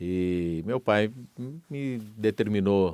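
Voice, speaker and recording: A man with an ordinary speaking voice talks at a fairly low pitch with lively intonation. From Minas Gerais, Brazil. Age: 50s. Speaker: radio broadcaster. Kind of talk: interview testimony.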